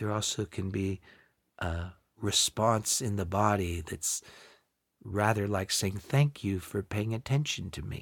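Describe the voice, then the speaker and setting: A man's somewhat breathy, gentle, warm voice with ordinary pitch variation, a fairly slow pace and long, frequent pauses, on a very clean recording with a silent background. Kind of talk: guided meditation. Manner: slow, gentle, unhurried, with long pauses; soft-spoken, warm and soothing.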